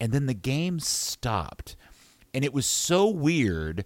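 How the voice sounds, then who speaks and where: A man speaks at a fairly slow pace in an ordinary speaking voice with an American accent. His pitch is medium, and the recording is very clean with a silent background. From United States. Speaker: broadcaster and football guest.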